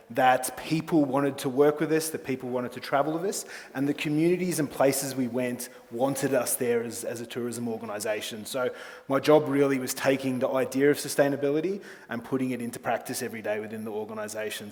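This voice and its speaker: Amid noticeable background noise and audible room echo, a man with an Australian accent talks at a very fast pace. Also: medium pitch for a man, ordinary pitch variation. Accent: thick Australian. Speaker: travel company executive. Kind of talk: conference presentation.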